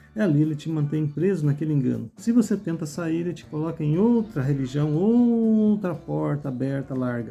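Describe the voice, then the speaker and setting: A moderate pace with hardly any pauses, and music in the background. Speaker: religious YouTuber. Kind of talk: sermon-style monologue.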